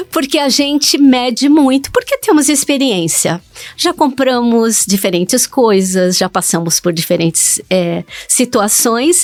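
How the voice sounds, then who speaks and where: A woman speaks with a high pitch and very wide pitch swings. Her pace is fairly slow and her loudness very even. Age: 70s. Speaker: digital influencer. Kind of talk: interview.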